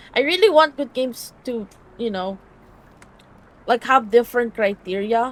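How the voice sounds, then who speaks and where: A woman speaks at a moderate pace in a fairly high pitch, with a slight Filipino accent. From Philippines. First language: Filipino language. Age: 20s. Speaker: streamer. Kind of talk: casual live stream chat with reading game text.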